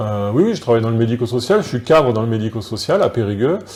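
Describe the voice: A man rattles along at a fast pace with big pitch swings. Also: medium pitch for a man, slightly mellow tone.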